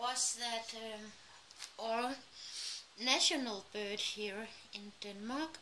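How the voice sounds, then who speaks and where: Very slow delivery with long, frequent pauses over light background noise. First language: Danish. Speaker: craft YouTuber. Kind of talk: casual craft tutorial vlog. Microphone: phone near.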